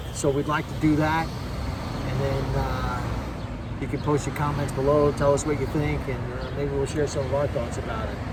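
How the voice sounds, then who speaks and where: A man keeps a moderate pace as noticeable background noise runs under his speech. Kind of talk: casual talk to camera. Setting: outdoors.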